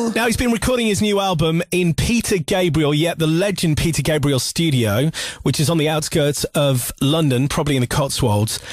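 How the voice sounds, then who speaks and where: A man's fairly high voice at a moderate pace, with lively intonation, very even loudness, hardly any pauses, a dry sound with no echo and music in the background. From West Yorkshire, UK. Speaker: radio presenter. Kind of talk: radio show presenting. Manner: chatty, upbeat. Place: studio. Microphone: studio mic.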